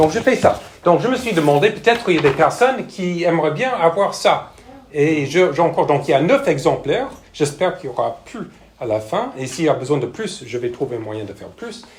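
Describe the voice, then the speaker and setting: A fairly high-pitched man with an American accent at a fairly quick pace, with very wide pitch swings, big swings in loudness, audible room echo and noticeable background noise. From United States. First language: English (speaking French). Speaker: missionary pastor, church planter. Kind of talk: sermon. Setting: church with congregation. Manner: hesitant, frequent fillers.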